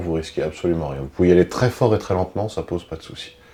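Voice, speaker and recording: A man speaks in a calm tone. His pitch is very deep and low. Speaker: body movement instructor. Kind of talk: guided exercise class. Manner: heavy audible breathing; calm, unhurried.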